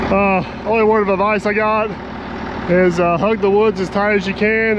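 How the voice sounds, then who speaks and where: A man speaks in a high pitch with monotone, flat intonation. Noticeable background noise and audible room echo fill the recording. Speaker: excavator operator. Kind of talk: casual chat.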